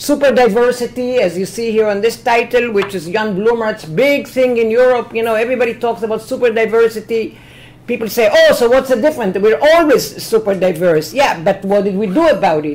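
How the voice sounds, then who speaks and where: A woman with an Israeli accent speaks at a fairly high pitch and a fairly quick pace. Her pitch varies in an ordinary way, with hardly any pauses. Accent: Hebrew-accented English. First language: Hebrew. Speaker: professor. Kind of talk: lecture. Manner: energetic.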